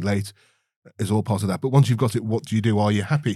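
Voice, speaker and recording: A somewhat breathy voice with a dark, mellow tone. The recording is very clean, and the background is silent. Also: man. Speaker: podcast co-host. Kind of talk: casual book discussion; scripted segment intro. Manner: halting, many repetitions.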